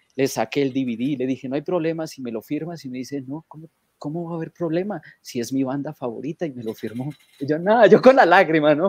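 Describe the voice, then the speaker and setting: Against a quiet background, in a dry sound with no echo, a man talks at a very fast pace in a fairly high pitch with ordinary pitch variation. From Colombia (Manizales); Colombia. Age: 40s. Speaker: rock fan; guest. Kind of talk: anecdote telling. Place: home room. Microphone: webcam.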